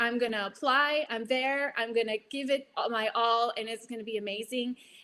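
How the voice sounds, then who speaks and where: A woman's fairly high voice with an American accent. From Virginia Beach, US. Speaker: veterans nonprofit regional manager. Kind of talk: virtual presentation. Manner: fast.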